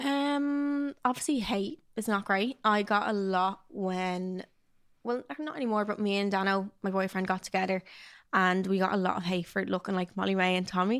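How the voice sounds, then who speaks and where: Recorded very cleanly with a silent background, a woman with a Dublin accent talks at a moderate pace and medium pitch, her pitch varying in an ordinary way. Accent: Dublin Irish. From South Dublin, Ireland. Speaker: influencer and podcaster. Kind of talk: casual chat.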